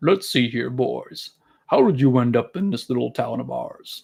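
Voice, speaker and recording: Using a put-on character voice, a man speaks at medium pitch and a moderate pace. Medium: read story. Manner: folksy, drawling.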